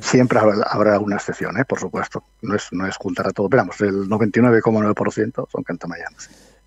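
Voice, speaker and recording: In a normal speaking voice, a man talks at a fairly slow pace with fairly low pitch and fairly even intonation, the sound dry and close with no echo. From Spain, Medina del Campo (Valladolid). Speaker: stock market analyst and professor. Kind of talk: interview.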